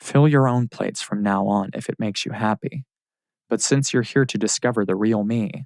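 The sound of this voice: Quiet surroundings, an unforced reading voice, and ordinary pitch variation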